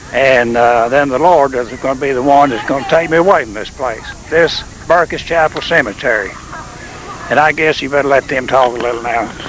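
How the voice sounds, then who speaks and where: Over noticeable background noise, a man with a Tennessee Valley accent talks at a fairly quick pace with a fairly high pitch and ordinary pitch variation. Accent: Southern US (Tennessee Valley). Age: 70s. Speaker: retired preacher. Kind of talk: interview.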